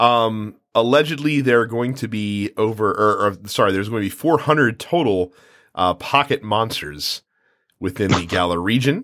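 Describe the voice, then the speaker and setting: A man with a medium pitch, a moderate pace and lively intonation, an unremarkable speaking voice, on a very clean recording with a silent background. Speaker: podcast host. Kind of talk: casual chat about video games.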